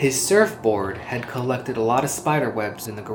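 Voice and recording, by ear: A text is read aloud in a natural voice, its pitch moving in an ordinary way.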